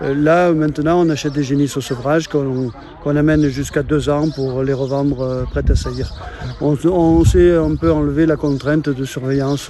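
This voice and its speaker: A man talks at a moderate pace in a fairly high pitch with ordinary pitch variation, noticeable background noise behind him. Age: 60s. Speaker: retired cattle farmer. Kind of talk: casual interview. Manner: halting, many hesitations.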